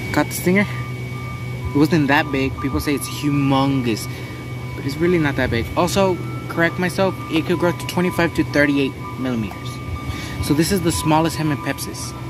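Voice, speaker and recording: Backed by music, a man speaks at a moderate pace with ordinary pitch variation and long, frequent pauses, the sound dry with no echo. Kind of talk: casual vlog chat. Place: garden. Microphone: camera far.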